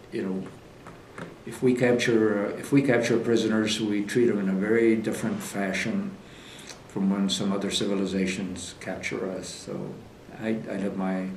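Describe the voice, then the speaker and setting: Delivered at a moderate pace in a monotone, flat intonation, the speech carries audible room echo. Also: man. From Philippines (Manila). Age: 70s. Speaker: war veteran and surgeon. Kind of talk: oral history interview. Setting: public library, on camera. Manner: halting, many fillers and repetitions.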